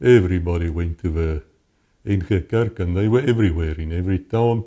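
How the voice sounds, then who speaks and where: Here a man speaks in a South African accent at a very deep, low pitch, his tone dark and mellow. He keeps a fairly quick pace with ordinary pitch variation on a very clean recording with a silent background. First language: Afrikaans. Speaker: former police officer. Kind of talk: interview testimony.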